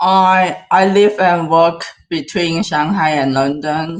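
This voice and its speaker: Speaking with a Cantonese accent, a woman uses a fairly low pitch and ordinary pitch variation at a fairly slow pace. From southern China, near Hong Kong. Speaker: AI filmmaker and director. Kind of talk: interview. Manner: halting.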